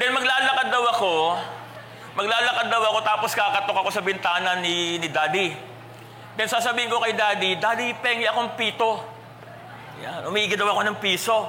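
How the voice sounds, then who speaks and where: A man's raised, projected, high-pitched voice, animated in tone, with ordinary pitch variation and long, frequent pauses, amid noticeable background noise and audible room echo. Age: 40s. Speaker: pastor. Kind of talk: sermon. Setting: church.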